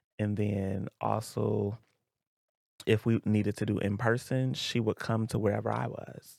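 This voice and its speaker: At a moderate pace, a man with a fairly low pitch has an unremarkable speaking voice, recorded dry and close with no echo. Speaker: school counselor and soldier. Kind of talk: podcast interview.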